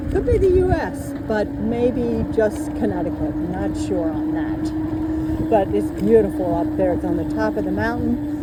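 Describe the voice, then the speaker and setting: A woman speaks at a fairly slow pace with hardly any pauses, amid audible room echo and noticeable background noise. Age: 60s. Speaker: e-bike vlogger. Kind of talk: casual vlog narration while riding. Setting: outdoors on a bike.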